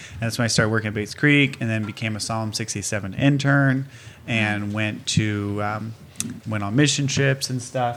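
A man with an ordinary speaking voice talks at a moderate pace, his medium pitch held in fairly even intonation. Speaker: Bible college worker. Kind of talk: casual chat.

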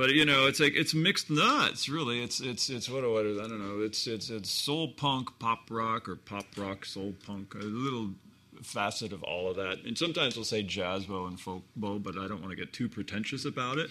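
A man with an American accent speaks at a moderate pace with hardly any pauses. His medium pitch shows ordinary variation, and his tone is bright and sharp. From US West Coast, Hermosa Beach, California. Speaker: guitarist and band founder. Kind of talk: casual interview chat. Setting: studio.

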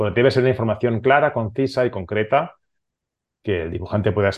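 With a Catalan accent, a man speaks at a fairly quick pace in a somewhat breathy voice. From Barcelona, Catalonia, Spain. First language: Catalan (speaking Spanish). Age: 40s. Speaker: comics artist. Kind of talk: interview.

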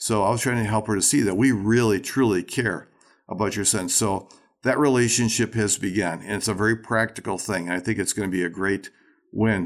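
In an American accent, a man with an ordinary speaking voice talks at a fairly quick pace, his pitch fairly low and his intonation fairly even, on a very clean recording with a silent background. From Racine, Wisconsin, US Midwest. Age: 60s. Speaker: ministry leader and leadership teacher. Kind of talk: casual interview conversation.

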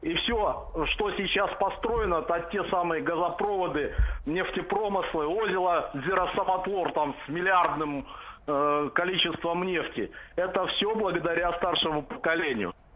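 A man with a high pitch talks at a fairly slow pace, with ordinary pitch variation and very even loudness. Audible room echo and noticeable background noise are present. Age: 50s. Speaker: caller. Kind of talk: phone-in call.

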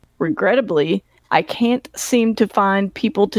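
A woman talks at a fairly slow pace and medium pitch. It is a plain, everyday voice. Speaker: podcast host. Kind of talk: casual chat, podcast interview.

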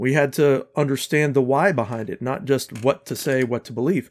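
On a very clean recording with a silent background, a man with an ordinary speaking voice, fairly high in pitch, talks at a moderate pace with ordinary pitch variation. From US South. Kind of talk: casual interview.

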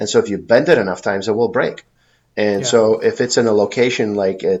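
A man with an American accent, an unremarkable speaking voice, fairly low pitch, and a moderate pace. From US Midwest, Chicago. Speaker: pain specialist doctor. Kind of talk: interview conversation.

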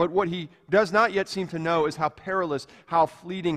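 This man has a normal speaking voice with a fairly high pitch. He speaks at a moderate pace. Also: very clean recording, silent background. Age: 40s. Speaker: pastor. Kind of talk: sermon.

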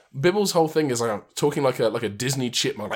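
Putting on a squeaky character voice at medium pitch, a man races along at a very fast pace with lively intonation.

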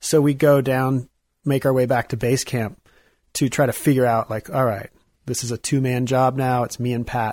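At a moderate pace, a man with a Midwestern American accent speaks at a medium pitch with monotone, flat intonation, in a very clean recording with a silent background and a dry, close sound with no echo. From US Midwest, Kansas City area, Missouri. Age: 30s. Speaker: artist and climber. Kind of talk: casual interview chat. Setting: studio.

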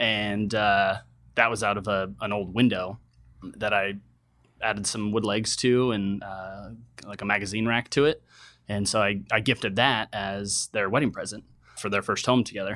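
A man's bright, sharp voice, fairly low in pitch, with an American accent and monotone, flat intonation. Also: moderate pace, very clean recording, silent background. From US West, Reno, Nevada. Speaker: furniture maker and designer. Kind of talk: casual interview.

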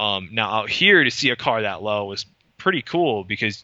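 In an American accent, a man with a normal speaking voice and fairly low pitch speaks at a moderate pace. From Michigan, west side. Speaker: custom car historian and researcher. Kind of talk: casual interview. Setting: in-person recording.

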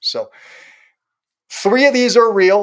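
Male speech delivered at a medium tempo. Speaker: podcast co-host on marketing. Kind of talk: casual chat. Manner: animated.

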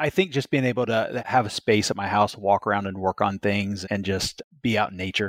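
In a plain, everyday voice, a man with a fairly low pitch talks at a fairly quick pace with hardly any pauses and fairly even intonation, the sound dry and close with no echo. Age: 40s. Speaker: construction company executive. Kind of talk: interview.

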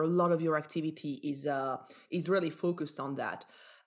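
With a Belgian accent, a woman speaks in a fairly low voice with ordinary pitch variation. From Belgium. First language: not English (Belgian). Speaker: business executive and angel investor. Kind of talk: interview conversation. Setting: remote virtual recording.

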